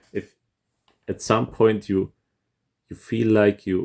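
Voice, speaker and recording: At a fairly slow pace, a man with a non-native accent speaks in a dark, mellow tone, recorded very cleanly against a silent background. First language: not English. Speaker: composer reacting to music. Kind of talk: casual music reaction commentary. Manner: hesitant, many fillers and repetitions.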